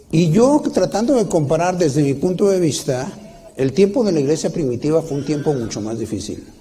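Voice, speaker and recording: A man with very wide pitch swings, amid audible room echo and noticeable background noise. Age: 60s. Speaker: preacher. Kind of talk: sermon. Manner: halting, with many restarts.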